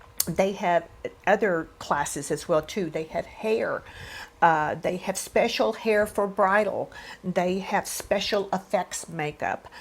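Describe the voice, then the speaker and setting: Her intonation fairly even, a woman speaks at a very slow pace. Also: medium pitch for a woman. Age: 60s. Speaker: beauty and fashion vlogger. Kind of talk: product review vlog. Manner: conversational.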